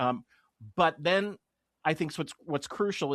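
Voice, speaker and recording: A man speaks at a moderate pace with lively intonation in a normal speaking voice, the sound dry and close with no echo over a quiet background. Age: 50s. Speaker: podcast host. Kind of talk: podcast interview.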